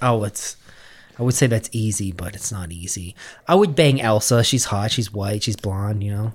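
Somewhat breathy speech with ordinary pitch variation comes at a moderate pace on a very clean recording with a silent background. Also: man, fairly low pitch for a man. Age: 30s. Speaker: podcast host. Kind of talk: casual banter. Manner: joking.

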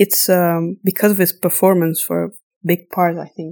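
A woman's dark, mellow tone at a fairly low pitch, with little pitch movement, a moderate pace, and a very clean recording with a silent background.

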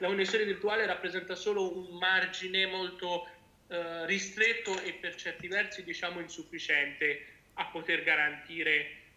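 Fairly even intonation and a moderate pace come through noticeable background noise and audible room echo. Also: man. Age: 20s. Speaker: patient advocate. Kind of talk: interview.

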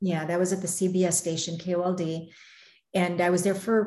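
At a moderate pace comes a plain, everyday voice. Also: woman. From Arizona, US. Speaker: news reporter. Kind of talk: casual interview chat.

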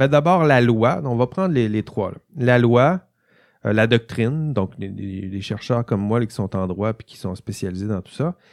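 A man with a Quebec accent speaks with ordinary pitch variation. The recording is very clean, with a silent background. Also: dry, close sound with no echo. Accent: Québécois French. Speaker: university lecturer. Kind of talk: lecture. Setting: studio. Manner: halting, with frequent repetitions.

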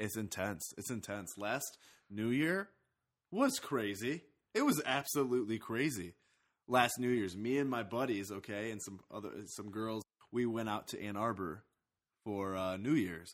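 A man with an ordinary speaking voice talks at a fairly slow pace, at a medium pitch, with ordinary pitch variation. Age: 20s. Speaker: podcast host. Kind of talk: casual monologue.

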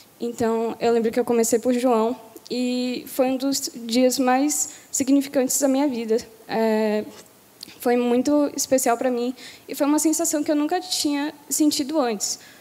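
Noticeable background noise sits under a woman's high-pitched voice. She speaks at a fairly slow pace with fairly even intonation. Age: 18. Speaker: baptism candidate. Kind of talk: testimony. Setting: church.

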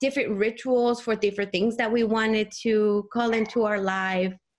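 A woman speaks at a fairly high pitch with a Spanish accent. Her intonation is fairly even. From Mexico City. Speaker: energy healer and sound therapist. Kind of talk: casual interview.

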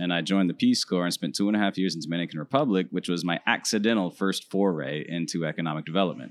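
A man with an American accent speaks at a very fast pace, with hardly any pauses. His pitch is very deep and low with ordinary variation, on a very clean recording with a silent background. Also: dry, close sound with no echo. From Central Florida. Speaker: economic development professional. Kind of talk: interview. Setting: conference broadcast booth.

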